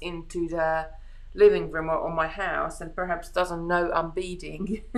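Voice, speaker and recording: A woman speaks with a Hungarian accent at a moderate pace. Audible room echo surrounds her voice. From Hungary. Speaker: beading craft host. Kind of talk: live craft tutorial chat. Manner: halting, many restarts.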